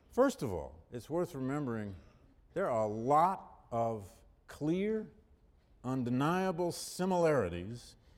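The man's pitch is medium, with very wide swings. You can hear echo from the room. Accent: American. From Michigan, US Midwest. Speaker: history professor. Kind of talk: lecture.

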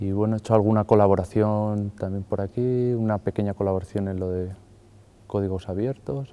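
With fairly even intonation, a man talks at a fairly quick pace and a fairly low pitch. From Madrid, Spain. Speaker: artist. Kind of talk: interview monologue. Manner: halting, with fillers.

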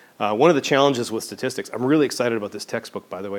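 Over a silent background in a very clean recording, a man with a medium pitch speaks with a slight Canadian accent. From Western Canada, Vancouver. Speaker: professor. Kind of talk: lecture.

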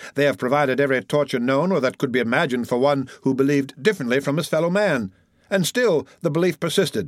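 Solemn in tone, a man speaks at a very fast pace and fairly high pitch, his loudness very even and his pitch variation ordinary. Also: very clean recording, silent background. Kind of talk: period debate speech, read aloud. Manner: solemn, oratorical, measured.

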